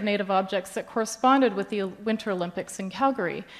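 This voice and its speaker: Speaking with a Canadian accent, a woman has an ordinary speaking voice at a medium pitch. She talks at a fairly quick pace with ordinary pitch variation. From Canada, Yukon. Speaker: independent curator. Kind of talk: conference presentation. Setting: stage with audience.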